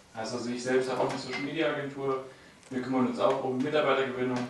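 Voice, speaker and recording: Over noticeable background noise and audible room echo, a man speaks at a medium pitch with fairly even intonation. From Germany, Hameln near Hannover. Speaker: audience member, financial education. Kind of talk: audience remarks at a talk. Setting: audience with handheld microphone.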